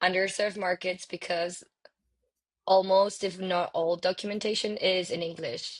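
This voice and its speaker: With a Spanish accent, a woman talks at a medium pitch and fairly even intonation against a quiet background. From Venezuela. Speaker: developer relations specialist. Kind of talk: podcast interview. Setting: live stream. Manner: hesitant, many fillers.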